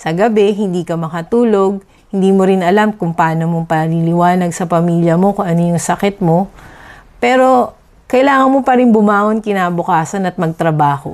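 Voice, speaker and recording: A moderate pace with ordinary pitch variation. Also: woman, medium pitch for a woman. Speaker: dentist and patient. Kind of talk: testimony. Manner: steady.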